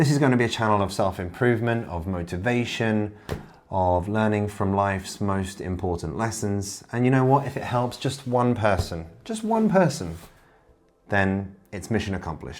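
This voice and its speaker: With a southern English accent, a man speaks at a moderate pace in a fairly low voice with ordinary pitch variation. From Kent, southeast England. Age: 40s. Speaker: self-improvement YouTuber. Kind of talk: casual direct-to-camera monologue.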